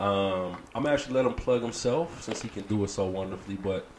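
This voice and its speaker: A man talks against noticeable background noise. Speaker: podcast co-host. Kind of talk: casual chat. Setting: studio.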